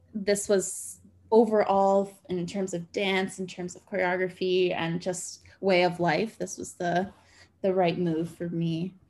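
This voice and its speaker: Her medium-pitched voice flat and monotone, a woman speaks at a fairly slow pace with big swings in loudness. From Canada. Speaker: dancer and choreographer. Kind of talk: casual interview chat.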